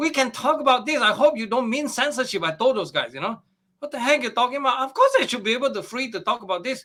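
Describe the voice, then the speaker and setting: A man speaks in a raised, projected voice, extremely high in pitch, with a bright, sharp tone. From Malaysia. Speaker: astrophysicist. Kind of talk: interview.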